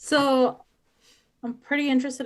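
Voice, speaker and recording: A woman speaks in a Spanish accent. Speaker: new real estate agent. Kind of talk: group video call discussion.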